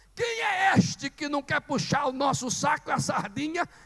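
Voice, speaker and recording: Someone shouts in an animated tone at a fairly slow pace. Noticeable background noise can be heard. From Ceará, Brazil. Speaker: preacher. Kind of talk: sermon.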